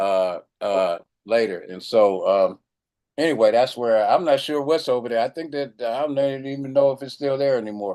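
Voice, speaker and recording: In an American accent, a man speaks at medium pitch with a dark, mellow tone and ordinary pitch variation. His pace is moderate, and the background is quiet. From Chicago. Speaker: doctor. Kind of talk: casual chat. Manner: halting.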